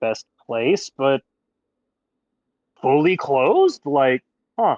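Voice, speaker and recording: A man puts on a character voice with a fairly high pitch and lively intonation. He delivers it at a very slow pace. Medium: actual play.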